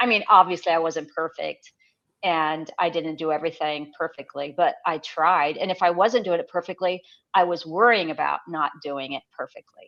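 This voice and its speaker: At a moderate pace, a woman talks in an unremarkable speaking voice, fairly low in pitch, with ordinary pitch variation. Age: 60s. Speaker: blogger. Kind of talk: casual chat. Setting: live stream.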